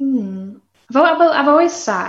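A woman with a Yorkshire accent, audible room echo around her voice. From northern England, Barnsley (South Yorkshire). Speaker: singer-songwriter. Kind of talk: casual chat.

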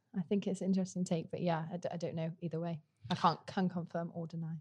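In a British accent, a woman speaks at a very fast pace with a fairly low pitch and a somewhat breathy voice. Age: 20s. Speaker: student political campaigner. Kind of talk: political discussion podcast.

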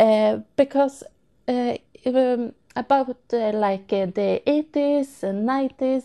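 Speaking at a very slow pace, a high-pitched woman has a Swedish accent and a dark, mellow tone. Her pitch varies in an ordinary way, and the sound is dry and close with no echo. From Sweden. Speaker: listener. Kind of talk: recorded voice message. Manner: halting.

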